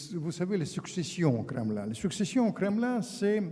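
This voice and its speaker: Noticeable background noise and audible room echo are present. A man talks through both. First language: Russian (speaking French). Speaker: author and former diplomat. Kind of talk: public lecture. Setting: conference hall with audience. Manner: halting, with repetitions.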